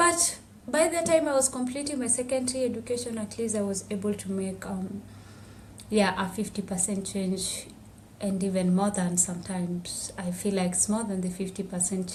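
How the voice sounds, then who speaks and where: Some room echo is audible as a woman speaks at a moderate pace, her medium-pitched voice somewhat breathy and ordinary in its pitch variation. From Tanzania, Maasai village on Kilimanjaro slopes. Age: 20s. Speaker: activist and public health student. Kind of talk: podcast interview, personal testimony. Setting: podcast interview.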